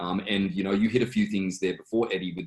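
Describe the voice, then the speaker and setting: With an Australian accent, a man talks at a very fast pace. His pitch is very deep and low. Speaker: auction company executive. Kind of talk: interview. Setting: video call. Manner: many fillers and restarts.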